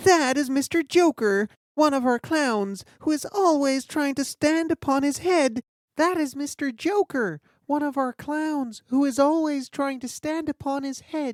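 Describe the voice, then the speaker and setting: A woman's put-on character voice, high-pitched and fairly slow, on a very clean recording with a silent background. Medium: read story. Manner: timid.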